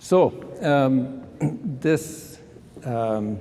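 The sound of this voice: Vocal fry runs through a man's dark, mellow tone, which shows ordinary pitch variation.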